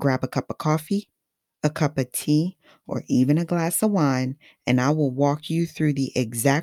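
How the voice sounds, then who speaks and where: A woman's very deep, low voice with a Haitian accent, moderate pace and ordinary pitch variation, dry and close with no echo on a very clean recording with a silent background. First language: Haitian Creole. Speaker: podcast host. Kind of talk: scripted podcast monologue. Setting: studio mic.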